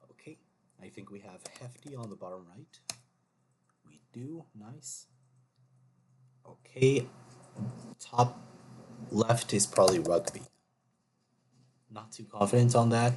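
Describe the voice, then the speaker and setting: Speaking at a fairly slow pace with long, frequent pauses, a man uses a somewhat breathy, medium-pitched voice with ordinary pitch variation and big swings in loudness. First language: not English. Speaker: gaming YouTuber. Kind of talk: casual gameplay commentary. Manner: thinking aloud, hesitant.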